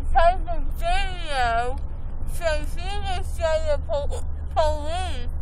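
The speech comes at a very slow pace, dry with no echo, over noticeable background noise. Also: woman. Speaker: vlogger after dental work. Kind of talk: casual vlog chat. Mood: groggy, drowsy. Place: car. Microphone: phone near.

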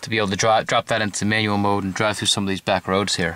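A man's voice has a bright, sharp tone. The sound is dry, with no echo. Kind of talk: casual product review. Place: car. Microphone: phone near.

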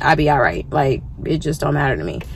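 Her pitch very deep and low, a woman speaks in a monotone, flat intonation, with a dry sound and no echo. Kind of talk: casual vlog chat. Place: car. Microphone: phone near.

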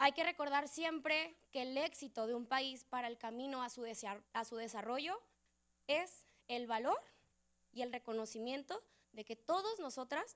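A moderate pace and lively intonation over a quiet background. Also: woman. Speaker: student association president. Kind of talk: short welcome speech. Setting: auditorium stage with audience. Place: hall. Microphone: handheld.

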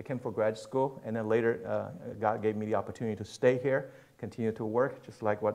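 A man at a fairly quick pace with fairly even intonation. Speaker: pastor speaking at missions conference. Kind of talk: sermon. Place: church.

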